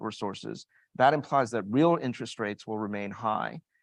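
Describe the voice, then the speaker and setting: A man's normal speaking voice at a medium pitch with an American accent, fairly quick, dry and close with no echo against a quiet background. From United States. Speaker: global investment strategist, panelist. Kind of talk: panel discussion.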